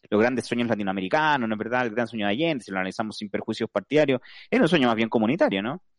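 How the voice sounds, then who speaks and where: This man talks at a very fast pace with medium pitch and ordinary pitch variation. The sound is dry and close with no echo, and the background is quiet. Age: 40s. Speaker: lawyer and radio panelist. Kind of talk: casual radio panel discussion.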